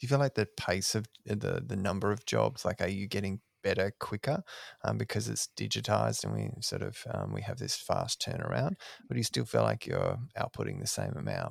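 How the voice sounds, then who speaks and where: A man with an Australian accent at a fairly quick pace, the sound dry and close with no echo. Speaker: podcast host. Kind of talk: casual interview chat.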